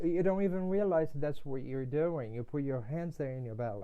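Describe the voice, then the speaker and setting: A man speaks with a Portuguese accent. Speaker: integrative medicine doctor. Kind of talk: podcast interview.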